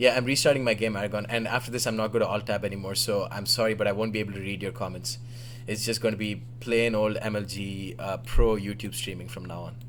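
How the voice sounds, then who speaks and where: Talking very fast in an Indian accent, the speaker has vocal fry and a flat, monotone delivery, with audible echo in the room. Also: man, fairly low pitch for a man. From Oman, Indian family. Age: 20s. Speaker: gaming livestreamer and commentator. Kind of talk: live game commentary stream. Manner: flustered, rapid apologies.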